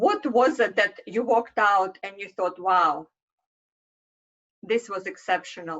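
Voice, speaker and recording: Speaking fairly slowly with a Russian accent, a woman leaves long, frequent pauses. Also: medium pitch for a woman, ordinary pitch variation. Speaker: marketing consultant. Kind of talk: presentation. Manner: halting.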